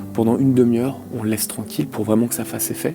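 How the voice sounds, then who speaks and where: Soft-spoken and medium-pitched, a man talks with ordinary pitch variation while music plays in the background. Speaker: acupuncturist. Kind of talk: live demonstration commentary.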